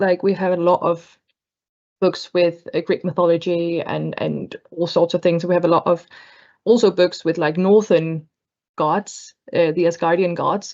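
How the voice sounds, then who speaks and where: Against a quiet background, the speaker talks at a moderate pace with a Danish accent. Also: woman. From Denmark. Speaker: book club panelist. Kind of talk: casual chat. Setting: video call.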